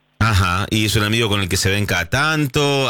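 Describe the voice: A man's bright, sharp voice at a fairly low pitch, fairly quick in pace, with lively intonation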